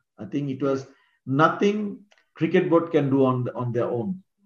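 Speaking with a Bengali accent, a man uses a fairly high pitch, ordinary pitch variation and a moderate pace. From Bangladesh, Mymensingh. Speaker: former cricketer and coach. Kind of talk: interview.

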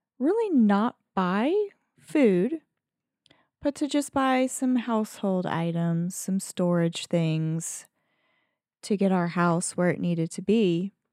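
On a very clean recording with a silent background and a dry, close sound with no echo, a woman with a Southern US accent speaks at a very slow pace in a dark, mellow tone. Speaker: podcast co-host. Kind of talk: casual chat. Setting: studio. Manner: low energy.

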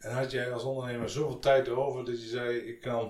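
A man is speaking. His pace is fairly quick. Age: 50s. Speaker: podcast host, business adviser. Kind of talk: interview. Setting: guest's office.

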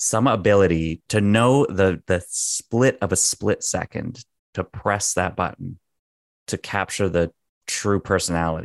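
Speaking with a plain, everyday voice at a fairly slow pace, a man with a fairly low pitch shows ordinary pitch variation, the sound dry and close with no echo and the background quiet. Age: 30s. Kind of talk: podcast interview.

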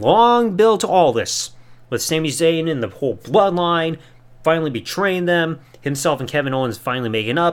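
A man talks at a moderate pace in a fairly high pitch with lively intonation, an unremarkable speaking voice. The recording is very clean, with a silent background. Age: 30s. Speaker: wrestling podcast host. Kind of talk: solo review podcast. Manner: casual.

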